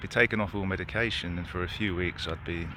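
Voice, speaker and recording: Very deep, low male voice with a British accent, very fast, in audible room echo. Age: 30s. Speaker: person telling own health story. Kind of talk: personal testimony.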